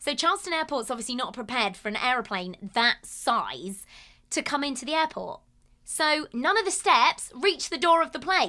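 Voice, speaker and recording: Projecting her raised voice with a bright, sharp tone, a woman with a British accent speaks high and at a moderate pace, her pitch swinging very widely over a very clean recording with a silent background. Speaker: podcast co-host. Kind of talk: casual chat.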